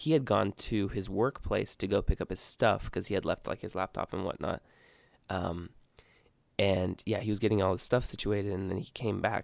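A normal speaking voice with an American accent, moderate pace and ordinary pitch variation in a very clean recording with a silent background. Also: man. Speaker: podcast co-host. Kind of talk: casual chat. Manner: casual, rambling storyteller.

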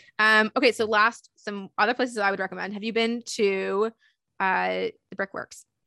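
A woman's bright, sharp voice with a Canadian accent, flat monotone intonation, and a dry, close sound with no echo over a quiet background. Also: medium pitch for a woman, moderate pace. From Toronto, Canada (Leaside). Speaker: podcast host, university program staff. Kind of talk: scripted narration; casual chat.

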